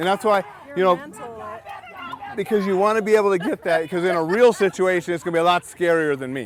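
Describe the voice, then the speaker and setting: Loud and animated, a man talks at a high pitch and a very fast pace with ordinary pitch variation and long, frequent pauses, in a dry sound with no echo and crowd noise in the background. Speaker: safety trainer. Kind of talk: hands-on training session. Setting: outdoors. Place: open country.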